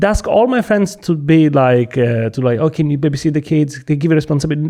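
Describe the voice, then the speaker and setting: Speaking at a fairly quick pace, a man with a strong Italian accent has a fairly high, dark and mellow voice. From Sicily, Italy. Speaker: comedian. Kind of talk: casual chat.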